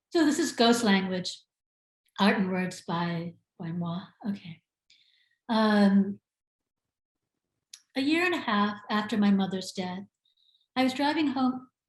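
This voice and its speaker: Speaking in an American accent, a woman with a medium pitch sounds somewhat breathy and talks at a fairly slow pace with long, frequent pauses. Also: lively intonation. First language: Sinhala. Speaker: author. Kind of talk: literary reading; casual talk to audience.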